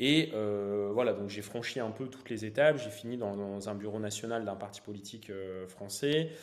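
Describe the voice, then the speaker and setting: A man speaks at a moderate pace with a fairly low pitch and hardly any pauses. His loudness swings widely, and room echo is audible. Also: ordinary pitch variation. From northern France, Valenciennes area. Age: 30s. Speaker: real estate investor and entrepreneur. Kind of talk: interview.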